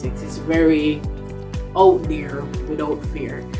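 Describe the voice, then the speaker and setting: A woman talks in a Jamaican accent with music playing in the background. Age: young. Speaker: dub poet. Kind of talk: casual talk to camera.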